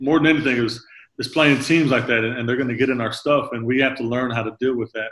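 This is an unremarkable speaking voice. The intonation is fairly even. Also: man. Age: 30s. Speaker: podcast host and basketball coach. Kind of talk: casual interview. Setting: video call.

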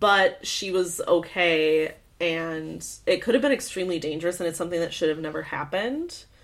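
With an American accent and an unremarkable speaking voice, a woman talks at a moderate pace and a fairly low pitch, using ordinary pitch variation. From US Midwest, Michigan. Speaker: podcast co-host. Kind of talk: casual chat.

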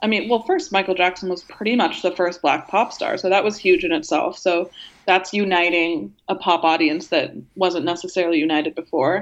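A woman in an American accent speaks at a fairly quick pace in an unremarkable speaking voice, at a medium pitch with ordinary pitch variation. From US Pacific Northwest, Portland suburb. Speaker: music journalist. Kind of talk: casual chat.

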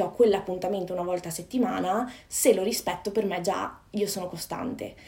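A fairly quick pace and fairly even intonation, over noticeable background noise. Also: woman. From northern Italy, Padova (Veneto). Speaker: personal development coach. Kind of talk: casual interview chat. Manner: halting.

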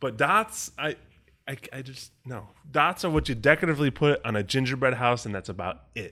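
A man with an ordinary speaking voice talks fairly quickly at a medium pitch, his intonation lively and his loudness swinging widely. The recording is very clean, with a silent background. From Chicago. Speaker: podcast co-host. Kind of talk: casual chat.

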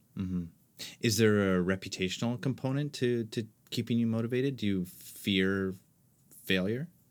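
A man with a fairly low pitch and ordinary pitch variation talks at a moderate pace with long, frequent pauses, on a very clean recording with a silent background. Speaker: podcast host. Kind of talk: interview conversation.

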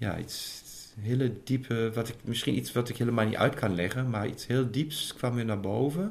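A man speaks at a moderate pace with hardly any pauses, his medium-pitched voice somewhat breathy and showing ordinary pitch variation. Room echo is audible. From Germany. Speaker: intended father. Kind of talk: interview.

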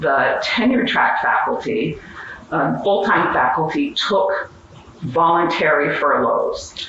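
A woman with an American accent is heard through noticeable background noise and audible room echo. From Western Pennsylvania. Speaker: history professor and union leader. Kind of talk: conference panel talk. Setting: stage with audience.

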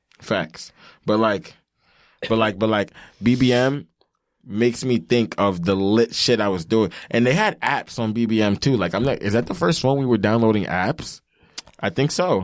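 Pausing long and often at an otherwise moderate pace, a man with a New York accent speaks at a medium pitch with ordinary pitch variation on a very clean recording with a silent background. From New York, Long Island. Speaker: podcast co-host. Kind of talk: casual chat.

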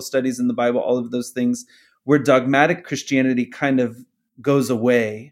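With an American accent, a man talks in a plain, everyday voice, fairly high in pitch, with ordinary pitch variation at a moderate pace. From US Southwest, Phoenix, Arizona. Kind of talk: interview testimony.

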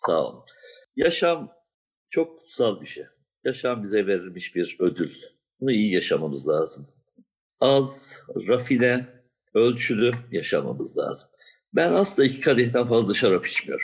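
There are long, frequent pauses as a man talks. His pace is fairly slow. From Siverek, southeastern Turkey. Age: 60s. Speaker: wine and spirits shop owner. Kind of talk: interview, casual and friendly conversation. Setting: video call. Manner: warm, positive, chatty.

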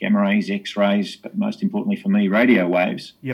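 A man's moderately paced speech, full of very wide pitch swings. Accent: Australian. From Tasmania, Australia (Hobart). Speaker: astrophysicist. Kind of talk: interview.

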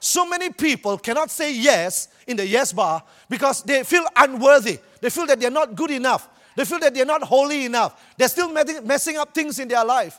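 Using a Malaysian accent, a man talks at a fairly quick pace with an extremely high pitch, an animated tone, and lively intonation. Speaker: preacher. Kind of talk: sermon. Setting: church with audience. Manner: animated, humorous.

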